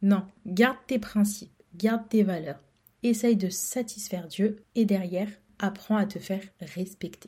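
A woman's dark, mellow, somewhat breathy voice at medium pitch, with a fairly slow pace and fairly even intonation. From France. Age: 20s. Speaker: podcaster. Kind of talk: casual solo monologue. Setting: recording alone at home. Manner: hesitant, repeats words.

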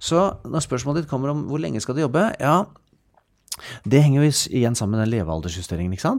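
This man talks at a very fast pace in a medium pitch. His pitch swings very widely. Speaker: pension economist. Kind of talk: casual interview about finance. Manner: jovial, laughs often.

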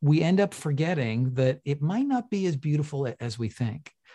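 Against a quiet background, a man with a Canadian accent speaks at a fairly slow pace in a fairly high pitch, his dark, mellow tone somewhat breathy and his intonation lively. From Canada (Toronto). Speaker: behavioral finance researcher. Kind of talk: interview conversation. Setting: video call.

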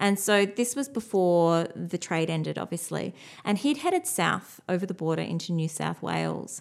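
Speaking with an Australian accent, a woman keeps to a moderate speed. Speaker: podcast co-host. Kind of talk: casual chat.

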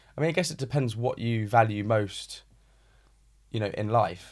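A man with a British accent at a fairly quick pace, in a very clean recording with a silent background. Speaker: real estate advisor. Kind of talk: casual chat.

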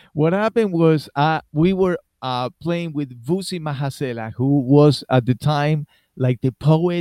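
In a dry, close recording with no echo, a man with a dark, mellow tone talks at a moderate pace with ordinary pitch variation. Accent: Argentine. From Argentina. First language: Spanish. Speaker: musician. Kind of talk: interview. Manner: animated.

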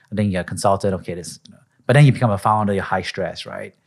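A very fast, fairly low-pitched man with a Singaporean accent and ordinary pitch variation, on a very clean recording with a silent background. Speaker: investor and podcast host. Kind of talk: interview conversation.

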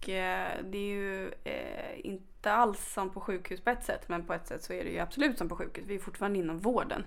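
Talking at a fairly quick pace, a woman's voice carries audible room echo. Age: 20s. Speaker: ambulance nurse. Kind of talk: interview.

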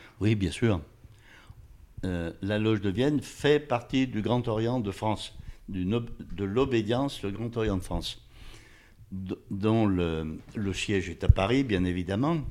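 Pitched fairly low, a man talks at a very slow pace with long, frequent pauses and ordinary pitch variation. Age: 80s+. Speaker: retired factory worker and freemason. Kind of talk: interview. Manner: halting, repeating words.

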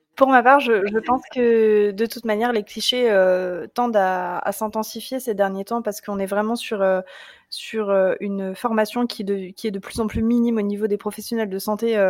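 In a very clean recording with a silent background, a woman with a plain, everyday voice speaks at a fairly high pitch. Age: 20s. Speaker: Instagram creator on breastfeeding. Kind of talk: casual chat.

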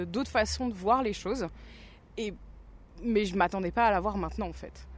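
A woman talks in an unremarkable speaking voice at medium pitch with ordinary pitch variation. The background is quiet. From Burgundy, France. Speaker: new teacher. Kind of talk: interview.

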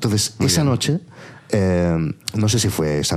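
A man with a very deep, low pitch. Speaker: podcaster and producer. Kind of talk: casual chat.

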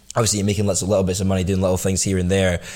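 With a Scottish accent, a man speaks in a very deep, low pitch and a monotone, flat intonation. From Scotland, Glasgow. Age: 20s. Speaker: entrepreneur. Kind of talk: casual chat.

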